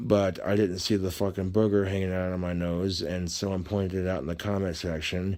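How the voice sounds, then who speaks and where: A man talks at a fairly quick pace with hardly any pauses. His very deep, low pitch stays monotone and flat. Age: 20s. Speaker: cooking video creator. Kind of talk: cooking tutorial. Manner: slurred.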